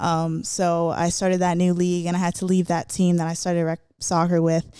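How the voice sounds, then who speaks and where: In a very clean recording with a silent background, a woman with a Florida accent speaks at a moderate pace in a dark, mellow tone, her fairly low pitch held in a monotone, flat intonation. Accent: American, Florida. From South Florida, Broward County. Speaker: professional soccer player and podcast host. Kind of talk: personal storytelling monologue. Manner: casual, with many fillers.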